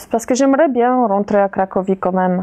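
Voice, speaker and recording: This is a woman's voice. She speaks with a Polish accent. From Poland, Kraków. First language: Polish (speaking French). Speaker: interviewee, immigrant mother. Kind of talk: interview. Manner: halting, many hesitations.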